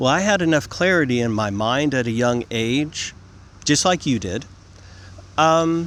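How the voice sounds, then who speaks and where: At a moderate pace, a man talks in a normal speaking voice with lively intonation. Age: 50s. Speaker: vlogger. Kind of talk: monologue to camera. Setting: outdoors in a field. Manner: repetitive, frequent 'okay?' fillers.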